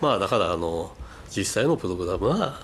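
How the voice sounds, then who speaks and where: Vocal fry runs through speech delivered at a moderate pace with very wide pitch swings. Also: man. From Japan, Fukushima. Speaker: company president, software developer. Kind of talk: radio interview.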